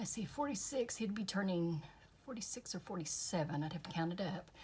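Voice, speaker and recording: A woman's voice is somewhat breathy. She talks at a fairly quick clip. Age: 60s. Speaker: craft youtuber. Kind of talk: casual crafting tutorial.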